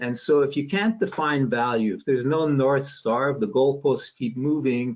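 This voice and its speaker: This man talks at a moderate pace in a fairly high voice, his pitch varying by an ordinary amount. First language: not English. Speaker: sales expert. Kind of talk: webinar talk.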